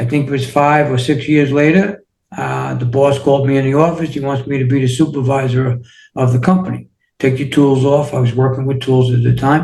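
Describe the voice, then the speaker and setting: Speaking in a New York accent, a man with a fairly high pitch and a dark, mellow, somewhat breathy tone talks fairly quickly with fairly even intonation. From New York City, Queens. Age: 60s. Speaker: wellness coach and author. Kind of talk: interview.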